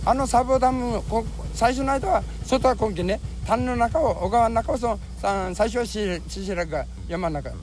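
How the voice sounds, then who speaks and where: A man with a Fukuoka accent amid noticeable background noise. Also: moderate pace. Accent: Chikugo (Fukuoka) dialect. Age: 70s. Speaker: tree nursery grower, flood survivor. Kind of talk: recorded testimony interview.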